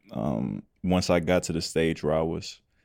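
Over a silent background in a very clean recording, a man talks in a very deep, low pitch with fairly even intonation. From Atlanta area, Georgia (Clayton/Henry County). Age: 20s. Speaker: country singer. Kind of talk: casual interview chat.

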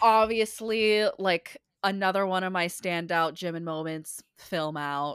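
With an ordinary speaking voice, a woman speaks at a fairly slow pace in a medium pitch with ordinary pitch variation, in a very clean recording with a silent background. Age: 30s. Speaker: professional singer and performer. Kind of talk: casual chat.

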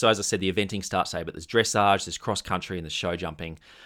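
A man with an Australian accent speaks very fast in a bright, sharp tone at a fairly low pitch, on a very clean recording with a silent background. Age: 30s. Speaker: podcast host. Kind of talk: comedic casual chat.

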